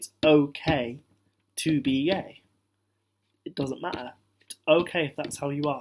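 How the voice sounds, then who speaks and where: Speaking with a British accent at a fairly slow pace, a man uses a fairly high pitch and fairly even intonation, with long, frequent pauses. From British Indian, Punjabi. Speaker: vlogger. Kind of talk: casual talk to camera.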